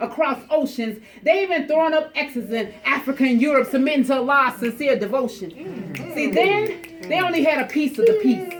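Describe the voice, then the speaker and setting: The speaker talks at a moderate pace with lively intonation. Noticeable background noise is present. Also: woman. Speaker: spoken word poet. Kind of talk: spoken word poetry performance.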